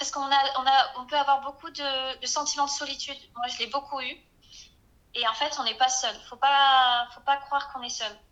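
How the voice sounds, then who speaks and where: At a moderate pace, a woman with a high pitch projects a raised voice in a bright, sharp tone, her intonation monotone and flat while her loudness swings widely. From southwest France (Arcachon basin). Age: 20s. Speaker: small business owner and naturopath. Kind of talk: casual interview. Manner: hesitant, many fillers.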